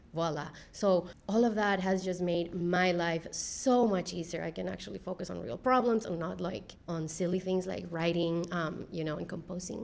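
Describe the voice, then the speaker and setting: A woman with a Spanish accent and vocal fry, at a moderate pace with ordinary pitch variation and hardly any pauses, in audible room echo. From Peru. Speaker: engineering leader. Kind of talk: panel discussion. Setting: stage with audience.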